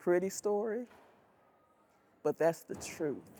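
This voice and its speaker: This speaker has an Alabama accent, a dark, mellow tone and a fairly slow pace. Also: woman. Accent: Southern US (Alabama). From US South, Selma, Alabama. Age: 60s. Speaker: retired educator, advocate. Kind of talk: interview testimony. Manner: halting, with fillers.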